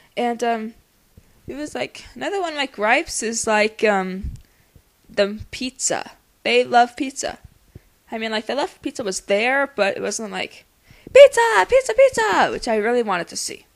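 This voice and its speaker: Mumbling at a moderate pace, a woman speaks with big swings in loudness and long, frequent pauses. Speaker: amateur movie reviewer. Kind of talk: casual talk to camera. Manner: mumbles in places; enthusiastic, casual.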